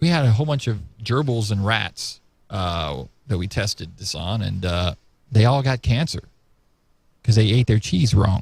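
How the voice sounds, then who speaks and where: Lively in intonation yet somewhat breathy, a man with a fairly low pitch talks at a moderate pace with long, frequent pauses. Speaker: talk show host. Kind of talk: casual chat.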